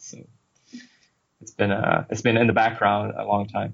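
A man with a Swedish accent speaks at a fairly low pitch in a monotone, flat delivery. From Sweden. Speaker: game designer. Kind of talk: casual interview. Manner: halting, many fillers.

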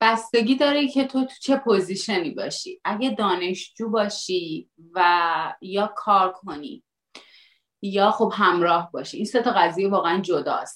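With a normal speaking voice, a woman of medium pitch talks at a fairly slow pace using lively intonation. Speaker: Iranian living abroad. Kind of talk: casual chat.

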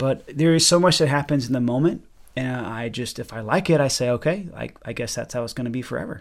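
His delivery is very fast. The man's voice sits at a mid-range pitch. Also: ordinary pitch variation. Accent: American. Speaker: pianist and composer. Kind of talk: casual interview conversation.

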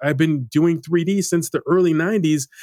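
A man with an unremarkable speaking voice talks at a moderate pace and a fairly high pitch. The sound is dry and close, with no echo. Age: 50s. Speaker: motion designer learning character animation. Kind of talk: casual interview conversation.

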